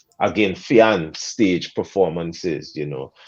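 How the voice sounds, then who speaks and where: A man speaks with a Guyanese accent. His pace is very slow. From Guyana. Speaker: soca artist. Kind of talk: podcast interview. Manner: animated.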